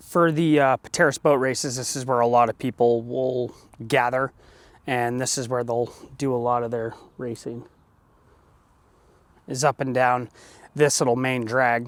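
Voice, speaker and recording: With a dry, close sound and no echo, a man speaks at medium pitch and a moderate pace in a monotone, flat way, leaving long, frequent pauses. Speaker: motorcycle vlogger. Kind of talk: casual vlog narration. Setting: outdoors. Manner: loud.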